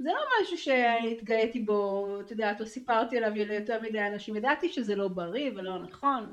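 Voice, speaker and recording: A woman at a moderate pace in a normal speaking voice, fairly high in pitch. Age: 50s. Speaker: marketing consultant, coaching client. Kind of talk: personal testimony interview. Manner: frequent laughter.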